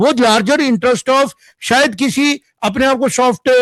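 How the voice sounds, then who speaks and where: An animated man with an extremely high pitch and ordinary pitch variation, in a dry, close sound with no echo. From Jammu. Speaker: panel guest on political debate. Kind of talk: TV news panel debate. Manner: animated, emphatic.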